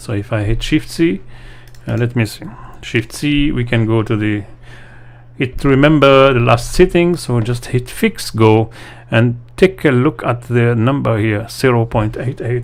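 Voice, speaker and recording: This man talks at a fairly slow pace in a mid-range pitch. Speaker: VFX tutor. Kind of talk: livestream tutorial. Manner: halting, many fillers.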